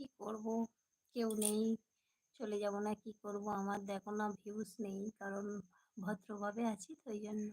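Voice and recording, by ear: A woman at medium pitch and moderate pace, with monotone, flat intonation, a slightly mellow tone and a slightly husky edge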